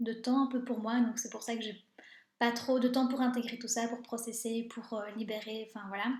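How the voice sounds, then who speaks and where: A woman speaks at a fairly high pitch in a monotone with flat intonation. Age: 30s. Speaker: life coach. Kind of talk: live stream talk. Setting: live video stream. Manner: fast; hesitant, many filler sounds.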